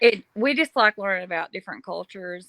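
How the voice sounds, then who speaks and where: In a Kentucky accent, a woman speaks at a moderate pace with lively intonation. Her bright, sharp tone comes through in a dry, close sound with no echo. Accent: Southern US (Kentucky). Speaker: paranormal podcast host. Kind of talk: casual interview.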